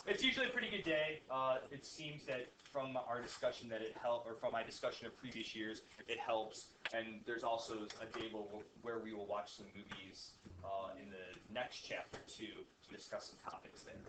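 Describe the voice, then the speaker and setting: Audible room echo surrounds a man's bright, sharp voice. His pitch varies in an ordinary way, while his loudness swings widely. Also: medium pitch for a man, moderate pace. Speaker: high school physics teacher. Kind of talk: classroom lecture. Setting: classroom with students.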